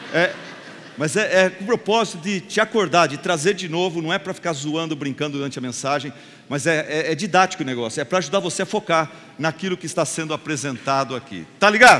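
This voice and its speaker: With noticeable background noise behind him, a man with a fairly high pitch speaks in an animated tone at a fairly quick pace with ordinary pitch variation. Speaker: pastor. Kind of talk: sermon.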